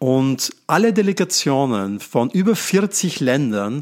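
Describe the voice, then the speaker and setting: Pitch swinging very widely, a man speaks in a fairly high voice on a very clean recording with a silent background. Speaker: podcast host. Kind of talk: casual chat.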